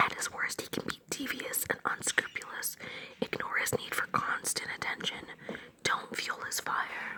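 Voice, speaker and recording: A whisper comes through with noticeable noise in the background. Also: moderate pace. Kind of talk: tarot reading. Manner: whispered.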